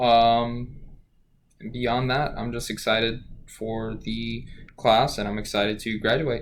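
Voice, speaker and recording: Very slow, monotone, flat delivery with long, frequent pauses and audible room echo. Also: man, medium pitch for a man. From Louisiana, Cajun area near Lafayette. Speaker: student. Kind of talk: self-introduction for a class. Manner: hesitant, many fillers.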